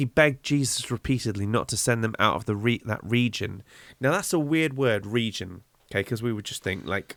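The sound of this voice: Here is an unforced reading voice with ordinary pitch variation.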